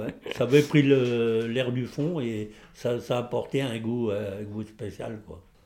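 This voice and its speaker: This man talks at a very slow pace in a medium-pitched, dark, mellow voice, his intonation fairly even but his loudness swinging widely. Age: 70s. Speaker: retired coal miner. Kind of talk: casual chat. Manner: halting.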